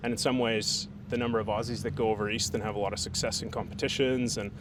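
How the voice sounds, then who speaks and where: A man's very fast speech with an American accent, medium pitch, and ordinary pitch variation. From Canada (Alberta). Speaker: barbecue caterer and competitor. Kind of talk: interview. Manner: casual, hesitant fillers.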